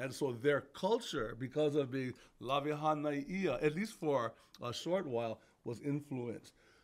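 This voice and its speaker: In a Hawaiian accent, a man speaks at a fairly high pitch with ordinary pitch variation. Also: moderate pace. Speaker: podcast co-host, works in education; podcast co-host. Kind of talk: casual chat with history explanations. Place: studio. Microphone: studio mic.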